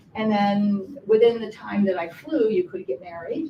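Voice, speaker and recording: Somewhat breathy, a woman talks at a moderate pace with medium pitch and ordinary pitch variation. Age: 70s. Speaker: audience member at film festival. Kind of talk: group discussion. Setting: public library screening with audience.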